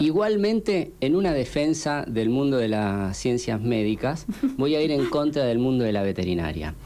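Over noticeable background noise, a man with a Rioplatense accent speaks at a moderate pace and medium pitch, his loudness very even while his pitch swings very widely. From Argentina, Pilar (Buenos Aires). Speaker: scientist researching antimicrobials. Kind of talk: radio interview.

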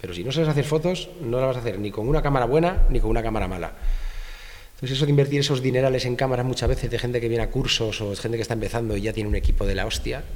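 A man at medium pitch with ordinary pitch variation, talking very fast amid noticeable background noise and audible room echo. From Spain, Madrid. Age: 40s. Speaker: fashion photographer. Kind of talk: casual interview.

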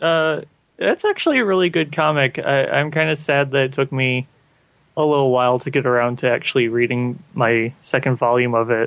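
A man with an ordinary speaking voice, medium pitch and ordinary pitch variation, at a fairly quick pace with very even loudness. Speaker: tokusatsu podcast co-host. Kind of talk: casual chat.

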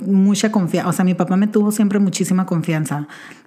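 Noticeable background noise runs under the recording. Her intonation, a woman's, stays fairly even. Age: 30s. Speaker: podcast host. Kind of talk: casual monologue.

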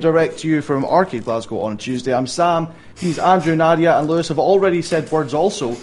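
Noticeable background noise sits behind a man with a high-pitched voice. He talks at a moderate pace with ordinary pitch variation. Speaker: gaming show host. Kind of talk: casual chat.

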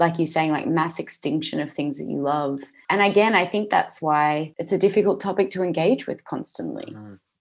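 A woman talks at a moderate pace in an Australian accent, with a quiet background behind her. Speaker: podcast host. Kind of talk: scripted intro and outro; casual interview.

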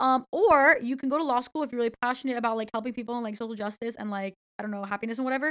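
A woman speaks at a very fast pace in a high pitch with ordinary pitch variation. The sound is dry and close, with no echo. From Brazil. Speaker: law student. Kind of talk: casual chat.

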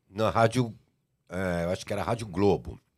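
At a fairly quick pace, a man talks with a very deep, low pitch and vocal fry. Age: 60s. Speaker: music and TV producer. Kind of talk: casual chat.

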